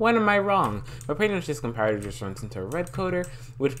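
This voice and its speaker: A man talks at a very fast pace with lively intonation. His voice carries vocal fry. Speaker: Minecraft YouTuber. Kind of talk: tutorial. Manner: animated; stuttering.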